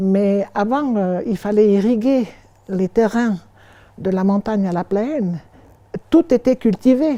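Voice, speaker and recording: Pitch moves with ordinary variation. The tone is dark and mellow. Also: woman. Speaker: museum guide. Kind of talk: interview answer, personal memories. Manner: enthusiastic.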